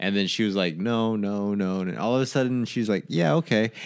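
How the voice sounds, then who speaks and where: With an unremarkable speaking voice, a man talks at a moderate pace and a fairly low pitch with lively intonation, on a very clean recording with a silent background. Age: 30s. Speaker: podcast co-host. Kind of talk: casual chat.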